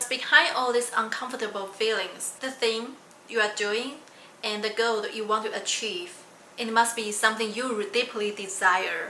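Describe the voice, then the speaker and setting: Noticeable background noise and audible room echo accompany a woman with a non-native accent who speaks at a fairly high pitch with fairly even intonation. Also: moderate pace. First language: not English. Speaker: PhD student and science communicator. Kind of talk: vlog monologue.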